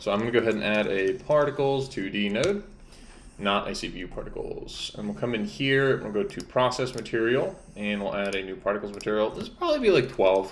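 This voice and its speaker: In a room with audible echo, a man speaks at a medium pitch and moderate pace with ordinary pitch variation. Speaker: game developer streamer. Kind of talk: live-stream tutorial. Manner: casual, thinking aloud.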